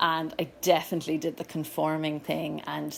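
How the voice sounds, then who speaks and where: A woman speaks with a Cork accent. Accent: Cork Irish. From Ireland, Cork. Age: 30s. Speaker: yoga school owner. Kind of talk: personal talk. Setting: live event with audience.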